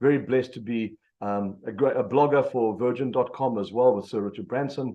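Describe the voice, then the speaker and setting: A man with a South African accent talks at a very fast pace. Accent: South African, noticeable. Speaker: business coach, motivational speaker. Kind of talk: motivational presentation. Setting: video call. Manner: energetic.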